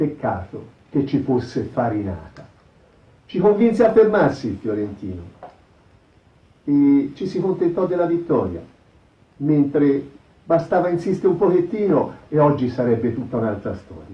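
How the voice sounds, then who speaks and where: Vocal fry runs through a man's fairly high voice, which shows very wide pitch swings. He leaves long, frequent pauses. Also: moderate pace. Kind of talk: historical narration.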